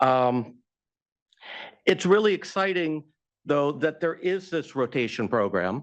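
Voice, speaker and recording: The voice is loud and moves at a fairly slow pace with very wide pitch swings. The background is quiet. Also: man, fairly high pitch for a man. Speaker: science advisory panel co-chair. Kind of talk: public meeting remarks. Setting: public meeting with microphone. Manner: halting, many fillers.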